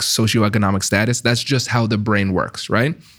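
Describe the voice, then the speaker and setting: Here a man speaks with an American accent. His pitch is fairly low. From Tiffin, Ohio (Caribbean American family). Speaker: negotiation expert and author. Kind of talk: podcast interview.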